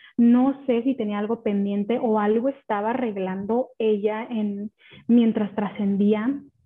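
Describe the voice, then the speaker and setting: A woman's unremarkable speaking voice, fairly high in pitch, at a fairly slow pace. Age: 30s. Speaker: podcast guest sharing her grief. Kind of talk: personal testimony.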